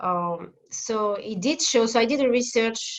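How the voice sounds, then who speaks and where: Her pitch is fairly high, with ordinary variation. The woman speaks with a French accent. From France, Paris. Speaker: family therapist. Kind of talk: interview. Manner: halting.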